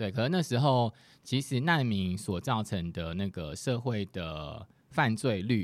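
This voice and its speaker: In a very clean recording with a silent background, a man with a normal speaking voice talks at a fairly low pitch with lively intonation. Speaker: guest sharing life abroad experience. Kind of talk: casual chat.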